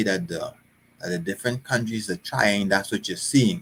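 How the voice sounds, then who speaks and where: Here is a man with a fairly low pitch. His pitch variation is ordinary. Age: 60s. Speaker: bible teacher. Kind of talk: religious teaching livestream. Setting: live stream. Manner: halting, repeats words.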